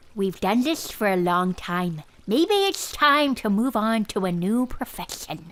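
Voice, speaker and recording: Using a put-on character voice, a woman speaks at a fairly high pitch. Her pace is fairly slow, and her intonation is lively. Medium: audio drama. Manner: frustrated.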